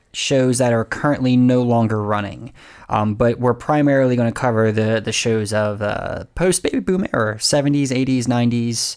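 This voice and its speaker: At a moderate pace, a man talks at a medium pitch. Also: very even loudness. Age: 30s. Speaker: podcast co-host. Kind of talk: casual chat. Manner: halting, many fillers.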